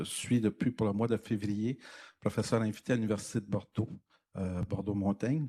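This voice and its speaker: With a dark, mellow tone and fairly even intonation, a man speaks at a fairly low pitch in a very clean recording with a silent background. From Quebec. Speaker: university professor. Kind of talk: lecture. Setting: conference room with audience. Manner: hesitant, many fillers.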